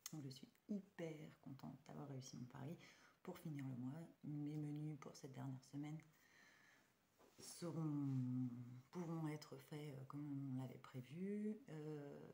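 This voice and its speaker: The voice is somewhat breathy with a dark, mellow tone and ordinary pitch variation, moving at a very slow pace with long, frequent pauses. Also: woman, very deep, low pitch for a woman. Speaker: budgeting vlogger. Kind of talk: casual vlog. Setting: at home at night. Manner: hesitant, many fillers.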